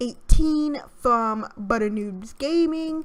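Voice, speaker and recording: A woman talks with ordinary pitch variation while music plays behind her. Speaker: gaming YouTuber. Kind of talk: casual gameplay commentary. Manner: hesitant, filler-heavy.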